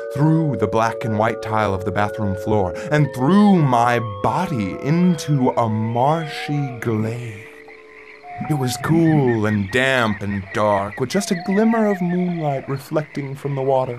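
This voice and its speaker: Over background music, a man speaks at a very slow pace. His medium-pitched voice has lively intonation. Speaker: narrator. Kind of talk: audio drama narration.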